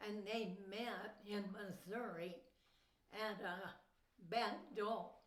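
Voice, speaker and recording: A woman's medium-pitched voice in an American accent, very slow and monotone with flat intonation, plus audible room echo. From Southern California (Mojave Desert). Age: 80s+. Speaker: grandmother telling life story. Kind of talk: life story interview. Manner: brief answers.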